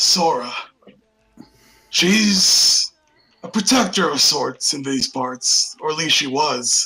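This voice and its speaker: Put-on, raspy character voice from a man, high-pitched with very wide pitch swings, very slow with long, frequent pauses. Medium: actual play. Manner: blunt, plainspoken.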